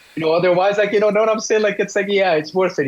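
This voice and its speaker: There's noticeable background noise behind this man's voice. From Brazil, São Paulo. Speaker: jazz guitarist. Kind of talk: casual interview chat. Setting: remote call with delay. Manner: halting, many fillers and repetitions.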